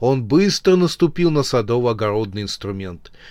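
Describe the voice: The reading aloud is plain, and its intonation is lively.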